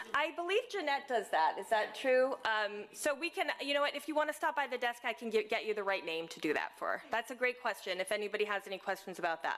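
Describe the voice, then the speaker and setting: A loud woman with a high voice and very wide pitch swings, talking at a very fast pace with hardly any pauses over noticeable background noise. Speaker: senior living community staff or executive. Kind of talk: community announcements at residents' meeting. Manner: hesitant, many fillers.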